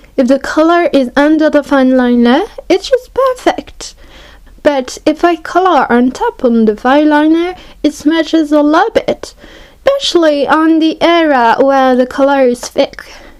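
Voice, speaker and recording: The voice moves at a fairly slow pace with lively intonation and very even loudness over noticeable background noise. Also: woman, high pitch for a woman. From France. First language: French. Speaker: art hobbyist YouTuber. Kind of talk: product review tutorial.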